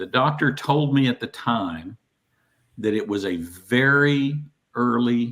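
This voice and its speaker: Here a man speaks in a Southern US accent. His pitch sits in the middle range, with ordinary pitch variation. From US South. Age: 60s. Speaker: guest with Parkinson's disease. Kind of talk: casual chat.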